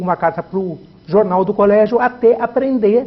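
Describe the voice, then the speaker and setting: High-pitched male voice, its pitch varying in an ordinary way. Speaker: journalist. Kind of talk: interview.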